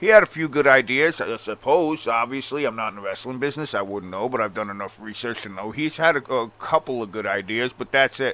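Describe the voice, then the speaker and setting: Speaking with a strong Long Island accent, a man moves at a fairly quick pace with lively intonation, medium pitch and big swings in loudness. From Long Island, New York. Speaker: wrestling commentary vlogger. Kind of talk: opinion rant. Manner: animated.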